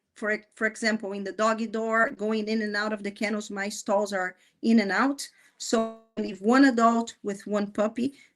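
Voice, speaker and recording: Music plays in the background as a woman with a fairly high pitch speaks at a moderate pace in a monotone, flat intonation. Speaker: dog breeder, kennel owner. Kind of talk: livestream interview.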